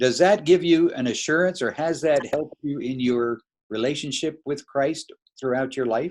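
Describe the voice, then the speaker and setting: In a plain, everyday voice, a man talks at a moderate pace with ordinary pitch variation, on a very clean recording with a silent background. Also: fairly high pitch for a man. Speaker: interviewer.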